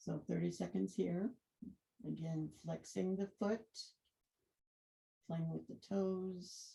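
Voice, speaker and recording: The woman talks very slowly. Long pauses come often. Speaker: yoga instructor. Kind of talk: guided yoga class. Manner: mumbling; too quiet.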